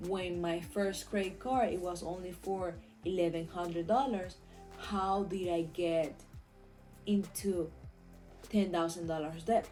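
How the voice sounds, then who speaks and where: Music plays in the background as a woman with a Venezuelan accent talks at a fairly slow pace, leaving long, frequent pauses. Her pitch is fairly low and her intonation fairly even. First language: Spanish. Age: 20s. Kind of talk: casual talk to camera.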